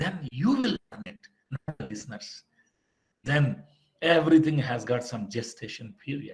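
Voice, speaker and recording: Very wide pitch swings from a man with a somewhat breathy, fairly high voice, at a fairly slow pace. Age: 50s. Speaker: motivational speaker. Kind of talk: motivational lecture. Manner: animated.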